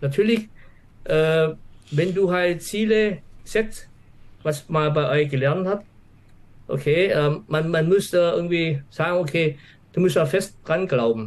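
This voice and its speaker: Speaking at a very slow pace with long, frequent pauses, a man uses a high pitch, ordinary pitch variation, and very even loudness. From Swabia, southern Germany. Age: 50s. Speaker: office employee and trading course client. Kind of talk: interview. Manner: halting, many fillers.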